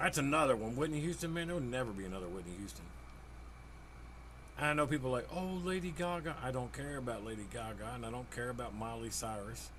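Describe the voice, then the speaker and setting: Over audible room echo, a man rattles along at a very fast pace. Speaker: gaming streamer. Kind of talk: casual chat.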